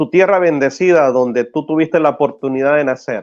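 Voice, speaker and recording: A man speaks at a moderate pace, his pitch fairly high. Music sounds in the background, and his pitch varies in an ordinary way. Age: 40s. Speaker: Salvadoran immigrant guest. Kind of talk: live stream interview.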